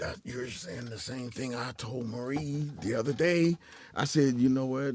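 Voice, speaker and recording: An ordinary speaking voice from a man at medium pitch, fairly slow in pace, with ordinary pitch variation and big swings in loudness. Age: 60s. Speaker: podcast co-host. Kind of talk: casual chat.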